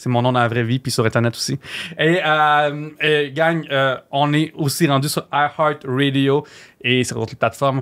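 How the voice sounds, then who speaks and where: With ordinary pitch variation and an animated tone, a man speaks at a moderate pace and a fairly high pitch over a quiet background. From Quebec. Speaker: gaming podcast host; podcast host. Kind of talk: casual chat. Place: studio. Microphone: studio mic.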